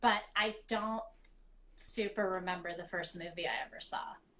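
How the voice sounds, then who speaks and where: A woman's bright, sharp tone with an American accent. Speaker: actress, writer and director. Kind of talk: casual interview.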